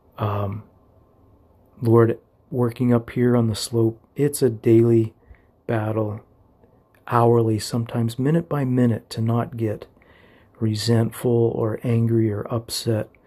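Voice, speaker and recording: A man's medium-pitched, somewhat breathy voice with a warm tone and a dark, mellow tone, monotone and flat, at a fairly slow pace with long, frequent pauses, on a very clean recording with a silent background. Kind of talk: fervent, heartfelt prayer spoken aloud, with scripture reading. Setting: home, early morning, solo recording. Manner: warm, earnest, fervent, pleading; casual, affectionate, slightly halting.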